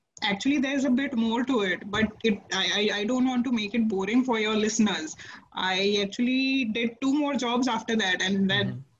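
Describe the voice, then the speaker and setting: Noticeable background noise sits behind a woman speaking at a moderate pace. Her voice is fairly high, with ordinary pitch variation. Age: 30s. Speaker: author. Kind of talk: interview.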